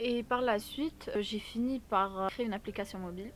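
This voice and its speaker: A woman's medium-pitched voice with a Kabyle accent, fairly even intonation and a moderate pace. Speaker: entrepreneur and content creator. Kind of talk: testimony. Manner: hesitant, many fillers.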